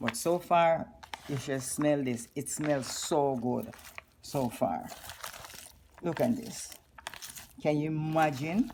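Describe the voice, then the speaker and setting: Over noticeable background noise, a woman with a Jamaican accent speaks very slowly in a very deep, low pitch, her intonation lively and her pauses long and frequent. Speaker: cooking vlogger. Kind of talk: cooking tutorial. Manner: animated.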